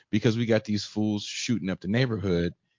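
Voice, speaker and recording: A man with an American accent has a plain, everyday voice and ordinary pitch variation. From Richmond, California. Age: 40s. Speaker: podcast host. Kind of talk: interview.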